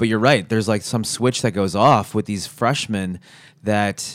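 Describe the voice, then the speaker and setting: A man's fairly low voice at a moderate pace, a normal speaking voice. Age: 30s. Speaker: podcast host and teacher. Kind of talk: casual chat. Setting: living room.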